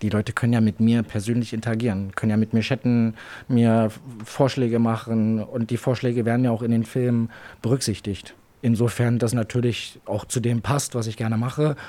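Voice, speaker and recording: Speaking fairly quickly, a man keeps a medium pitch and a monotone, flat intonation. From Berlin. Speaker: adult content creator. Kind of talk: interview. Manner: casual, filler-heavy.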